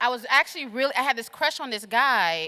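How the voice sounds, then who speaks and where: A woman with a fairly high voice talks at a fairly quick pace in an animated, bright, sharp tone. Her pitch swings very widely. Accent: slight Southern US. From US South, Atlanta. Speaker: keynote speaker, political organizer. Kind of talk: keynote speech. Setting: stage with audience. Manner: fast.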